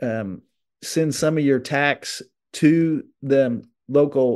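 A man with an American accent speaks at medium pitch with fairly even intonation, in a plain, everyday voice against a quiet background. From southern Illinois. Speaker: TV host and tractor collector. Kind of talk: casual interview.

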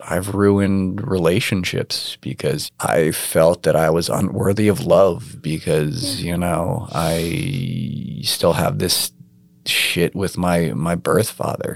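A man with an American accent speaks at a very slow pace in a very deep, low pitch, with vocal fry and lively intonation. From New York. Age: 30s. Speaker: adoptee, artist. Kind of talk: personal testimony interview. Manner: hesitant, many fillers.

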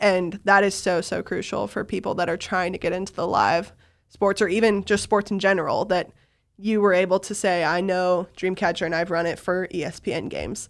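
In a very clean recording with a silent background, a woman with an unremarkable speaking voice talks at a fairly quick pace, her medium pitch held in fairly even intonation. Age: 20s. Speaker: sports video producer. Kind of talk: interview. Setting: studio.

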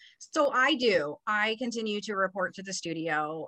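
A woman speaks with a Californian accent and a bright, sharp tone. The background is quiet. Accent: Californian American. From Los Angeles. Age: 40s. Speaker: TV news producer. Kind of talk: interview.

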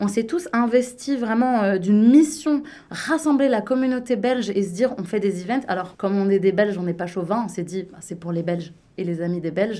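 Lively in intonation, a woman speaks with a dark, mellow tone and big swings in loudness. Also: medium pitch for a woman, moderate pace. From Belgium, Liège area. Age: 30s. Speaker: business consultant. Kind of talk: casual radio interview.

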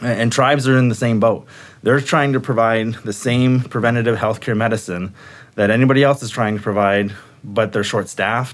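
An ordinary speaking voice from a man, medium in pitch, fairly quick in pace, with fairly even intonation. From US Midwest, Michigan Upper Peninsula (Sault Ste. Marie). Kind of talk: interview.

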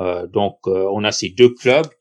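A man's fairly low voice with fairly even intonation, against a quiet background. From southern New York State, US. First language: English (speaking French). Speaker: baseball club president. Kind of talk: podcast interview. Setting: remote recording.

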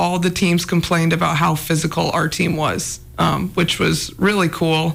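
With an American accent, a woman speaks at a fairly slow pace and a fairly low pitch, showing vocal fry, very even loudness and monotone, flat intonation. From Anaconda, Montana. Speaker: former college basketball player, pro overseas. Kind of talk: casual interview.

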